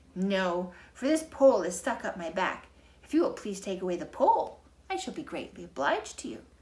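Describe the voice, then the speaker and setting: Putting on a character voice, a woman speaks fairly quickly in a husky, medium-pitched tone, with very wide pitch swings and big swings in loudness. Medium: read story. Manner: friendly, polite.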